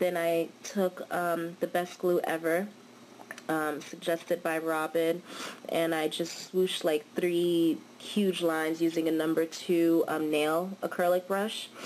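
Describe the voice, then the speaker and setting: Against noticeable background noise, a woman talks at a fairly slow pace in a fairly low, monotone voice with flat intonation. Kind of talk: casual nail art tutorial talk. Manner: casual, hesitant with fillers.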